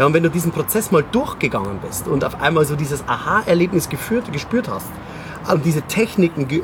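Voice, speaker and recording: The speaker moves at a moderate pace with very wide swings in pitch. Background noise is noticeable. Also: man. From Bavaria, Munich. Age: 40s. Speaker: memory trainer and keynote speaker. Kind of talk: casual interview.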